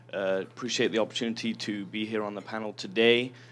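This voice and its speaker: A man with an English accent, talking at a very fast pace with fairly even intonation. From southern England. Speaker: credit union lender. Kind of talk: panel introduction.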